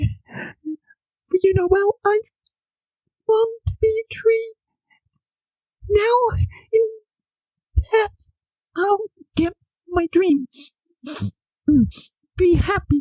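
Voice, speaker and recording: A put-on character voice, female-sounding and extremely high-pitched, moves at a very slow pace with long, frequent pauses. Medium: audio drama. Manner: soft, weak, sorrowful.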